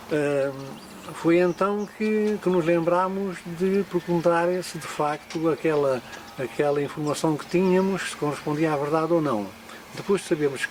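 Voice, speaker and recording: A man's fairly high voice with ordinary pitch variation against noticeable background noise. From Portugal, Alentejo (Elvas area). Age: 80s+. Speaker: local elder. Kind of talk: oral history interview. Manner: halting.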